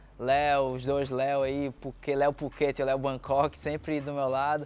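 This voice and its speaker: The man's voice sits fairly high in pitch and stays monotone, with flat intonation. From Brazil, Belém do Pará; Pará, Brazil. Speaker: Muay Thai fighter. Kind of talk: interview testimony. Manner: casual, halting. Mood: calm, reflective. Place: garden. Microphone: lapel.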